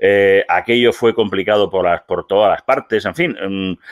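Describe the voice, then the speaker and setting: A man at a moderate pace, with a dry sound with no echo and a quiet background. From Spain. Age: 50s. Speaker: writer and political scientist; guest. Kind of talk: interview. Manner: halting, many fillers and repetitions; talkative. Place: home room. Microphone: video call.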